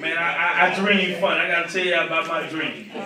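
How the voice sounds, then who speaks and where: At a moderate pace, a man with a high pitch speaks over noticeable background noise, with audible room echo. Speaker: comedian. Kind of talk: stand-up. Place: stage.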